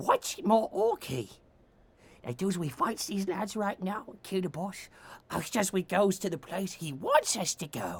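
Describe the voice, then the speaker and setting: A put-on character voice pitched in the middle range. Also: moderate pace. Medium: actual play. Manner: rough, boisterous.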